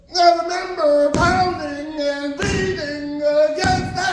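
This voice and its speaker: Over music in the background, a man speaks very slowly in an intense tone with fairly even intonation. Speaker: spoken word poet. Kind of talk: poetry slam performance. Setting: live event. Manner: emotional, intense.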